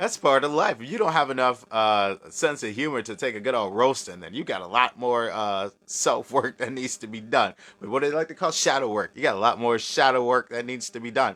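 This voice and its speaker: Hardly pausing, a man talks at a fairly quick pace in a bright, sharp tone at a medium pitch, with ordinary pitch variation and big swings in loudness. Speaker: occult livestream host. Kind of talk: live stream chat with viewers. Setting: live video stream. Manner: casual, conversational.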